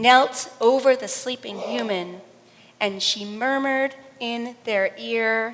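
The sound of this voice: This is an unforced reading voice. Pitch varies in an ordinary way.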